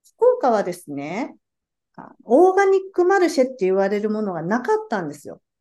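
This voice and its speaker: A woman's fairly high, dark and mellow voice at a fairly quick pace, with big swings in loudness and very wide pitch swings. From Japan, Fukuoka. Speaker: organic market organizer. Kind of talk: interview.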